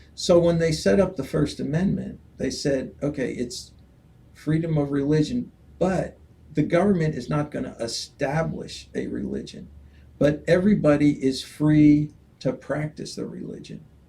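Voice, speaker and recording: A man with a dark, mellow, somewhat breathy tone speaks at a moderate pace with ordinary pitch variation. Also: fairly high pitch for a man. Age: 70s. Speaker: political candidate. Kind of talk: interview. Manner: halting.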